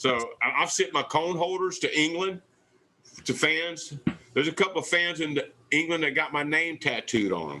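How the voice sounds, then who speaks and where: Using a bright, sharp tone and a Southern US accent, a man speaks at a moderate pace in a fairly high pitch. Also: ordinary pitch variation. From US South, southwest Louisiana. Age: 60s. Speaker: barbecue pitmaster, TV cooking competitor. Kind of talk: casual interview chat. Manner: animated.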